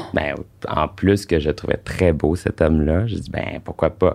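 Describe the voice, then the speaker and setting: A man with a Quebec accent speaks at a fairly slow pace. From Quebec (Sherbrooke, Eastern Townships). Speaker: former adult film actor. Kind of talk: casual interview.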